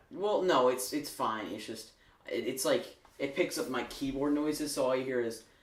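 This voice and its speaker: A man speaks with ordinary pitch variation. Room echo is audible around his voice. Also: moderate pace. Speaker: podcast host. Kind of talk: casual chat. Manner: halting.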